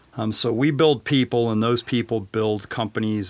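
A normal speaking voice at a moderate speed, recorded very cleanly against a silent background. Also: man. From western Colorado. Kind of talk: interview.

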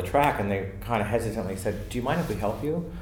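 Very fast speech from a man with an American accent, plus noticeable background noise and audible room echo. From Maryland, US. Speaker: theater dresser. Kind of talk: casual chat.

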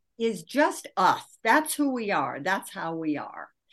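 Against a quiet background, a woman with an American accent talks at a moderate pace, her pitch swinging very widely. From US Midwest, Michigan. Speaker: author and leadership coach. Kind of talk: interview.

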